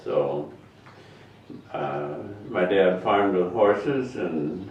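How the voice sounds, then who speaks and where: A speaker with an American accent is heard with audible room echo and noticeable background noise. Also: man. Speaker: retired teacher and farmer. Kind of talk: interview.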